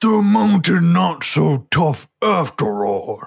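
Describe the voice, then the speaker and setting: Someone uses a put-on character voice at a middle pitch and a very slow pace. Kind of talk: comic overacting. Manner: boastful, taunting, broken grammar.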